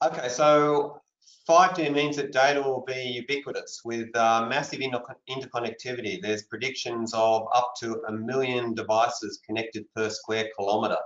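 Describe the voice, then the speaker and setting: A man with an Australian accent, medium in pitch, at a moderate pace with ordinary pitch variation. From Australia, Sydney. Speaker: wireless research leader. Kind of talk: panel discussion.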